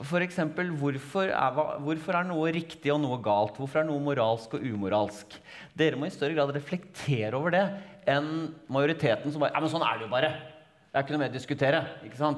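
Against a quiet background, a man speaks at a fairly quick pace. His pitch varies in an ordinary way. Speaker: interview guest. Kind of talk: interview answer. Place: stage. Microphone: headset.

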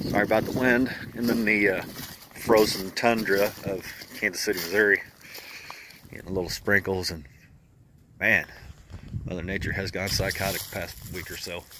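A man with a fairly low pitch speaks at a moderate pace with fairly even intonation and long, frequent pauses, in a dry sound with no echo and noticeable background noise. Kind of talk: casual vlog chat. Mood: relaxed, friendly. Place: garden. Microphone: phone near.

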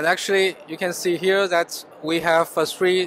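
A man at high pitch, with fairly even intonation and a moderate pace, in a dry sound with no echo and light background noise. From China. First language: Chinese. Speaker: business development manager at chemical company. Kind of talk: trade show interview. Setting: exhibition booth at trade fair. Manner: halting, with fillers and repetitions. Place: hall. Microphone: handheld.

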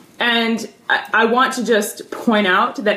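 A woman's animated tone at a fairly high pitch, with audible room echo. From US South. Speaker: math teacher. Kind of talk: live stream advice talk. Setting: livestream at home filmed on tablet. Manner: animated, talks with her hands. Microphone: phone near.

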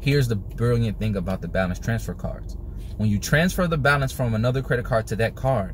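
A man speaks at a fairly quick pace with ordinary pitch variation. The sound is dry with no echo, over light background noise. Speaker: personal finance vlogger. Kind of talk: casual explainer vlog. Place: car. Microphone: phone near.

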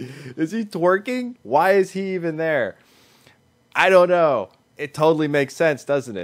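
A man's lively intonation carries over a quiet background as he talks fairly slowly. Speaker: reaction video host. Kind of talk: casual reaction commentary. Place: home room. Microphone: studio mic.

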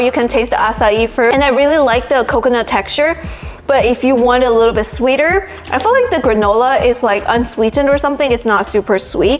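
With light background noise, a woman talks at a very fast pace in a high pitch and at very even loudness. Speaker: product reviewer. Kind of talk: casual vlog chat. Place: kitchen.

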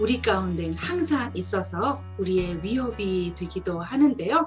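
With music in the background, a woman talks very slowly. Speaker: book reviewer or storyteller. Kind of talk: book talk commentary. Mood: warm, animated. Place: home room. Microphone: webcam.

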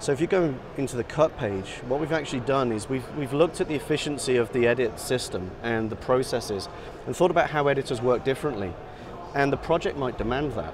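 Noticeable background noise sits under very fast speech. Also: man, ordinary pitch variation. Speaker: product sales director. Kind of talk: product demo explanation. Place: hall.

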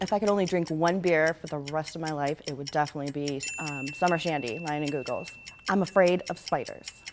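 Against noticeable background noise, a woman with an American accent and a very deep, low pitch talks at a fairly quick pace with ordinary pitch variation. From Ohio, Cleveland area; Ohio. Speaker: furniture store employee. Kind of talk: staff interview answering questions. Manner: casual, laughing. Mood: cheerful, relaxed. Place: shop.

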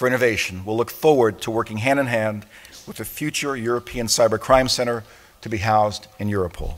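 This speaker talks at a very fast pace, with big swings in loudness. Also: man. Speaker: international police organization secretary general giving an opening address. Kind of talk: formal conference opening address. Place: hall. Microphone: podium.

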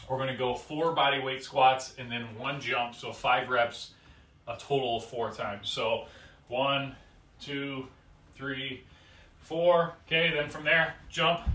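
Audible room echo surrounds a man speaking at a very slow pace. His intonation is fairly even, broken by long, frequent pauses. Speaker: fitness coach. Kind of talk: tutorial. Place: home room. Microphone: camera far.

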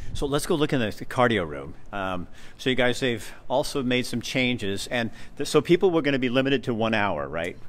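A man with an American accent, vocal fry, lively intonation and a moderate pace. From US Pacific Northwest. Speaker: video host touring a gym. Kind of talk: casual walkthrough interview. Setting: indoors at a gym, walking tour. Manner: animated. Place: gym. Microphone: handheld.

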